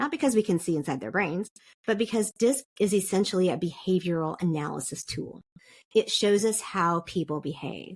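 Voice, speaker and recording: Delivered at a moderate pace with lively intonation, this is an unremarkable speaking voice. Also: woman, medium pitch for a woman. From South Korea (international school, American family). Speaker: podcast guest, DISC consultant. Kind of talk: interview conversation.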